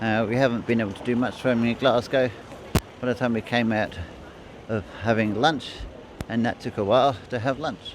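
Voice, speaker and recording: A medium-pitched male voice at a moderate pace, fairly even intonation, noticeable background noise. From England, Bedfordshire. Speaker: travel vlogger. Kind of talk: voice-over narration; casual vlog talk. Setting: voice-over recording. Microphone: built-in mic failed, replaced by voice-over.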